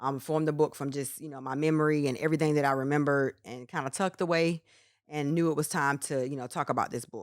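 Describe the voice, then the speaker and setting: A woman with an American accent talks at a very fast pace in a very deep, low voice with fairly even intonation, on a very clean recording with a silent background. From North Carolina, small town. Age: 30s. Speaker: author. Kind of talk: interview.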